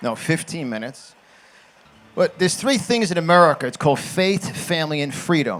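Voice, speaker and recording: A man talks at a moderate pace. His tone is animated and his intonation is lively. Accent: New York. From New York. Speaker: conservative political commentator and motivational speaker. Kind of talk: political rally speech. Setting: stage with audience.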